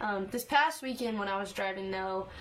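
A woman in a Texas accent speaks at a fairly high pitch with ordinary pitch variation. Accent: Texas Southern. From East Texas. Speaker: country singer-songwriter. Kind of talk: interview.

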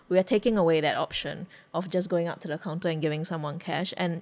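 A woman with a plain, everyday voice, fairly low in pitch and fairly even in intonation, in a very clean recording with a silent background. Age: 30s. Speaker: podcast co-host and editor.

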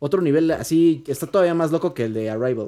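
Recorded very cleanly against a silent background, a man with a Mexican accent speaks at a fairly high pitch in a dark, mellow tone. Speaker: podcast co-host. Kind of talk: casual chat.

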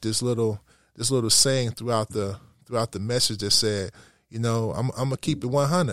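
At a fairly quick pace, a man with a plain, everyday voice speaks at medium pitch, in a very clean recording with a silent background. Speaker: pastor. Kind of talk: casual interview conversation.

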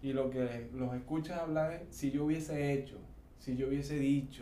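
A man's fairly high voice at a moderate pace with fairly even intonation, plus audible room echo and noticeable background noise. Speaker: podcast co-host. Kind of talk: casual chat.

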